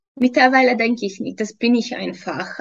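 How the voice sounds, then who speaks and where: With a Hungarian accent, a woman speaks at a fairly high pitch with ordinary pitch variation. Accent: non-native German, Hungarian. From Hungary. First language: Hungarian (speaking German). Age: 30s. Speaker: fitness trainer and nutrition coach. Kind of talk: interview testimony. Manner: hesitant, many fillers.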